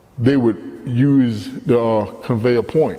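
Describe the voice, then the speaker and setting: There is audible room echo as a man speaks at a medium pitch. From Baltimore, Maryland. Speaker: storyteller. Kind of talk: personal monologue. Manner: animated.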